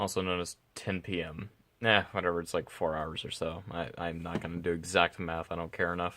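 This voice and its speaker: A quiet man speaks at a fairly quick pace in a very deep, low voice. His tone is bright and sharp, and his intonation stays monotone and flat. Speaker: vlogger. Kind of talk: casual vlog monologue. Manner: halting, stuttering.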